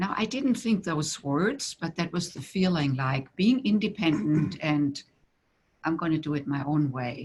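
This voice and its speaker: A woman's very deep, low, somewhat breathy voice with a German accent, very wide pitch swings and a fairly slow pace. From Germany. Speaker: tantra teacher. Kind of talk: interview.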